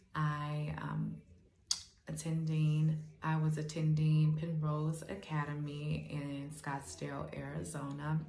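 A woman speaks at a very slow pace in a very deep, low pitch with monotone, flat intonation. Room echo is audible. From Gary, Indiana. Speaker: beauty school student. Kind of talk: scholarship application video. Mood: earnest, hopeful. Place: home room. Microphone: phone near.

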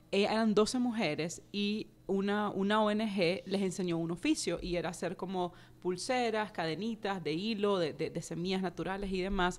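A woman's voice at a moderate pace, ordinary pitch variation and hardly any pauses. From Nicaragua. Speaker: personal finance educator and author; personal finance educator. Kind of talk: interview. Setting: studio. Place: studio. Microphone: studio mic.

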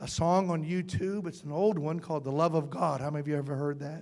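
Fairly quick speech from a man, with fairly even intonation and a quiet background. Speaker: pastor. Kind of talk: sermon. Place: church.

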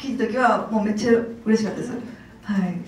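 Room echo is audible as this woman talks. There is light background noise as well. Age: 50s. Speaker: actress. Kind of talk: press conference interview answer. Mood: warm, cheerful, praising. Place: hall.

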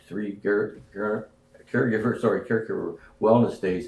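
With audible room echo, a man talks at a moderate pace and fairly low pitch, his dark, mellow tone carrying fairly even intonation. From Canada. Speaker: foundation co-founder and bereaved parent. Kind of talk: casual reminiscing conversation. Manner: halting, many fillers. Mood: proud, warm. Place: home room. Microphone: camera far.

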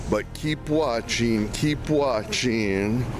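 Speaking at a very slow pace, a man is heard in a dry sound with no echo, with noticeable background noise. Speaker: vlogger. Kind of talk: casual vlog chat. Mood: a bit anxious, regretful. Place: street. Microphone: phone near.

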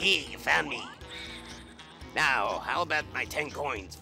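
A man's raspy, put-on character voice at medium pitch, fairly slow in pace, with clear music in the background. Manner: gruff, smoker-like.

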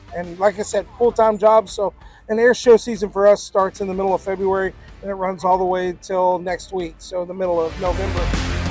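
Over faint music in the background, a man speaks at a fairly quick pace in a high pitch with monotone, flat intonation and a dry sound with no echo. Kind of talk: interview answer. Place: open country. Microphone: lapel.

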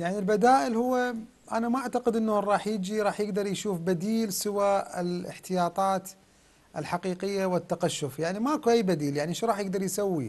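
This man has a high pitch with ordinary variation. He speaks at a moderate pace. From Iraq. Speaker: member of parliament, bloc leader; TV guest. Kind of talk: TV political interview. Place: studio. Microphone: lapel.

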